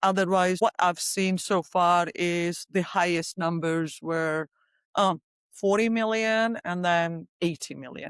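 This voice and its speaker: The speech comes in a Georgian accent at a fairly slow pace, with ordinary pitch variation. The sound is dry and close, with no echo. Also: woman. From Republic of Georgia. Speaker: company CEO and founder. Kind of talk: podcast interview. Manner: hesitant, many fillers.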